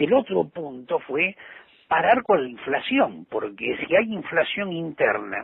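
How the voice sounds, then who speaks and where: A man speaks in a normal speaking voice at a fairly slow pace. His intonation is lively. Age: 60s. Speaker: politician and journalist. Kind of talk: interview.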